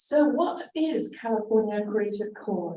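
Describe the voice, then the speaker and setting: The voice has a dark, mellow tone with ordinary pitch variation. It moves at a moderate pace, with audible room echo. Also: woman. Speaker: arts council director. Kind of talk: presentation. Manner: loud, projecting; halting, many fillers.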